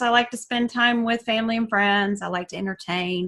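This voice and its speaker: A woman's fairly high, bright, sharp voice in a Southern US accent, with ordinary pitch variation. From US South (Alabama, Georgia). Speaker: essential oils educator, coach. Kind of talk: online class. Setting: Zoom class.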